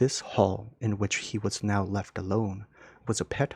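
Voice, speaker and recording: A somewhat breathy man speaks at a fairly low pitch and a fairly slow pace, with monotone, flat intonation. The recording is very clean with a silent background and a dry, close sound with no echo. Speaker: ASMR audiobook reader. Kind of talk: soft relaxing audiobook reading, sleep-style. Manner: soft-spoken, relaxed.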